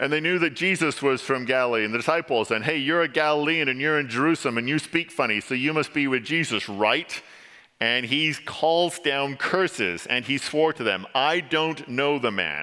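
A man with an English accent speaks at a moderate pace in a bright, sharp tone. His loudness stays very even. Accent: English, noticeable when reading aloud. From England. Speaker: church elder, lay preacher. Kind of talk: sermon. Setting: church.

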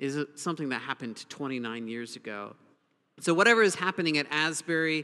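A bright, sharp tone at a moderate pace with ordinary pitch variation. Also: man. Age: 40s. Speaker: pastor. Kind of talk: sermon.

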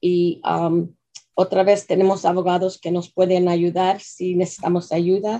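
Speaking fairly slowly, a woman has a non-native accent and medium pitch. Her tone is dark and mellow. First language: English (speaking Spanish). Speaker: nonprofit executive director. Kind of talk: radio interview. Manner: halting.

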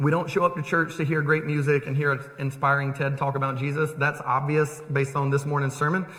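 A man with a fairly high pitch speaks at a fairly quick pace in a monotone, flat intonation, with hardly any pauses and noticeable background noise. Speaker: pastor. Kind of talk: sermon. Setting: church. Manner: loud.

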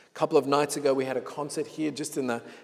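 Someone speaks with an Australian accent. The pace is fairly quick. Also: man. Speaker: pastor. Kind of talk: sermon. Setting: church.

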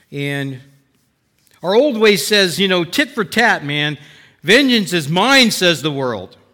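A man uses a raised, projected voice with a bright, sharp tone and very wide pitch swings, recorded very cleanly against a silent background. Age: 60s. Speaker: Bible teacher. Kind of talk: sermon. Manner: conversational.

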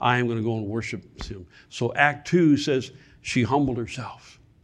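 An ordinary speaking voice from a man with an American accent, medium pitch and fairly even intonation. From Michigan. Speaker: guest preacher. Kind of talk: sermon. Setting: church.

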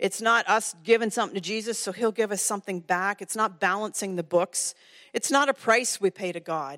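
An unremarkable speaking voice with a Canadian accent moves at a fairly quick pace with ordinary pitch variation. The sound is dry and close, with no echo. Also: woman, very clean recording, silent background. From Ontario, Canada. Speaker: women's ministry director, guest speaker. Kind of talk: sermon. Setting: church.

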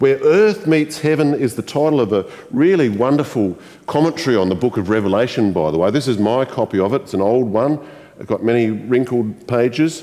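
A man with an Australian accent and a warm tone talks at a fairly quick pace. His medium pitch makes very wide swings. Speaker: pastor. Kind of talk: sermon. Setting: church. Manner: warm, conversational.

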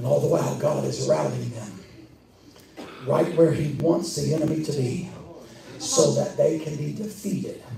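Noticeable background noise and audible room echo surround this recording. A man talks at a fairly slow pace. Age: 50s. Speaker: pastor. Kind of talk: sermon. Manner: animated.

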